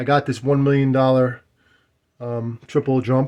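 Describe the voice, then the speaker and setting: Somewhat breathy, monotone delivery with flat intonation and an American accent. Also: man. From New York. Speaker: arcade collector and YouTuber. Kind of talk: casual walkthrough video, selling a machine. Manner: fast; repetitive, stammering restarts.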